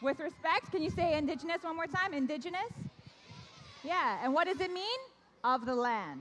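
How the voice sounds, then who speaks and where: At a moderate pace, an animated voice with very wide pitch swings speaks with long, frequent pauses over noticeable background noise. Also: woman. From Canada. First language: Korean. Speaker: event host. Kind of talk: hosting a live ceremony for children. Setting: stage with audience.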